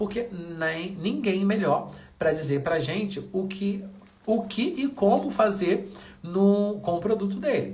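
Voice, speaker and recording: A soft-spoken man talks at a high pitch in an animated tone. Noticeable background noise and audible room echo surround his voice. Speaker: wall painting DIY youtuber. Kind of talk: tutorial. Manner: speaking softly briefly.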